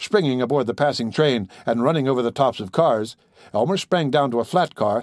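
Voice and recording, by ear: Pitch variation stays ordinary. The words are read aloud in a natural voice.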